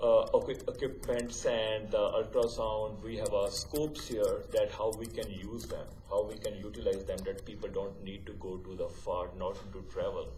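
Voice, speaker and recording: There is audible room echo and noticeable background noise. A man talks through it at a moderate pace. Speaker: hospital site manager. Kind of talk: council presentation. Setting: council chamber with mic. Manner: halting.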